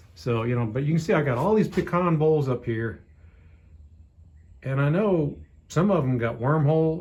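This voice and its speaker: A man with an American accent speaks at a fairly high pitch and moderate pace. His voice is somewhat breathy, with lively intonation. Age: 60s. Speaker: hobby woodturner. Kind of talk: casual tutorial rant. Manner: casual, rambling with self-corrections.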